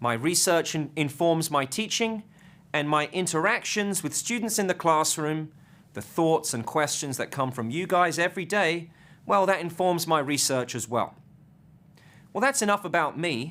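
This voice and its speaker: A man's voice sits fairly high, with a bright, sharp tone and lively intonation. The recording is very clean, with a silent background. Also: moderate pace. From southeast England. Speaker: finance professor. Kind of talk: lecture.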